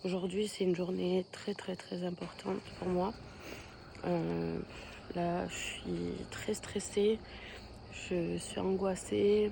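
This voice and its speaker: Pausing often and at length, a woman talks very slowly as noticeable background noise continues. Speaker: vlogger. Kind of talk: vlog. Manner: hesitant, many fillers.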